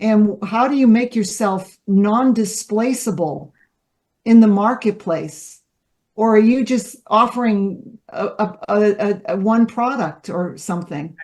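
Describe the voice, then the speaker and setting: Somewhat breathy, a woman speaks at a fairly high pitch and fairly slow pace with ordinary pitch variation. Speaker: leadership development facilitator. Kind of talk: workshop presentation.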